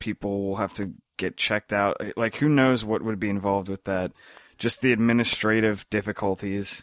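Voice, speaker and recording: In an unremarkable speaking voice, a man talks at a moderate pace with a fairly low pitch and fairly even intonation, the recording very clean with a silent background and a dry, close sound with no echo. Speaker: podcast co-host. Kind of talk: casual chat.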